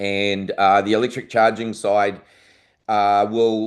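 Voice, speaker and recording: In a New Zealand accent, a man speaks fairly slowly with a fairly low pitch and monotone, flat intonation. The background is quiet. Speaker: aviation industry presenter. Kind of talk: conference presentation. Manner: casual, with many fillers.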